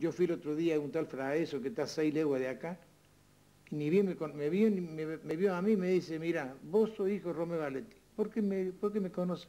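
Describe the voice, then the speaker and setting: A man with a high pitch and a dark, mellow tone speaks at a fairly quick pace with ordinary pitch variation. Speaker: local elder, son of threshing machine owner. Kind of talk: interview reminiscence. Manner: halting.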